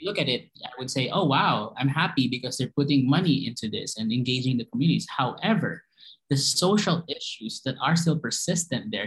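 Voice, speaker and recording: A man talks at a fairly high pitch with lively intonation and a somewhat breathy sound. His pace is fairly quick, with hardly any pauses. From Philippines. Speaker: marine conservationist. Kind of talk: panel discussion.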